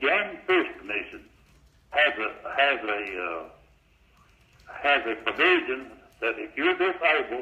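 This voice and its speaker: With an Arkansas accent, this speaker leaves long, frequent pauses amid noticeable background noise. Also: man, fairly slow pace. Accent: southern US (Arkansas). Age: 80s+. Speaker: caller. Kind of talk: call-in question. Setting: phone call. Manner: halting.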